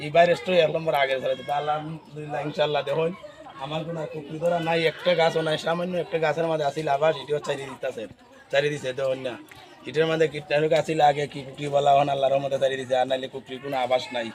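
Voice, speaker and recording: Against crowd noise in the background, a man with a fairly high pitch talks with fairly even intonation. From Bangladesh, Habiganj (Sylhet region); Bangladesh. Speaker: farmer. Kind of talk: casual interview. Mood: proud, happy. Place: garden. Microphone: phone near.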